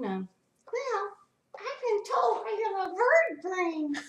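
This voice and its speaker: A cartoonish character voice moves through very wide pitch swings. The pace is very slow. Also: woman, extremely high pitch for a woman. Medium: puppet.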